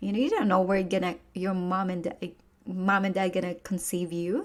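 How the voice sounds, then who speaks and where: A woman with a Filipino accent speaks at a moderate pace in a very clean recording with a silent background. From Philippines. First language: Tagalog. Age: 30s. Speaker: podcast host, personal growth coach. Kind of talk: motivational podcast monologue. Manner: casual, halting with many fillers.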